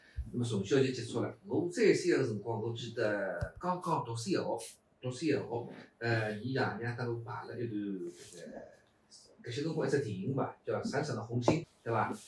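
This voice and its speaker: Against noticeable background noise, a man talks at a moderate pace with medium pitch and lively intonation. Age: 50s. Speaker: pingtan storytelling performer. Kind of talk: casual interview chat.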